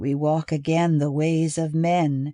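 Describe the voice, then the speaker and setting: In a put-on character voice at a middle pitch, the speaker talks at a fairly slow pace with monotone, flat intonation over a quiet background. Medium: read story.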